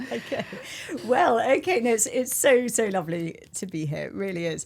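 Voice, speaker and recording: At a moderate pace, a woman with a British accent speaks at a fairly high pitch with very wide pitch swings amid noticeable background noise. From rural England/Britain. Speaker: diplomat. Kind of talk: interview.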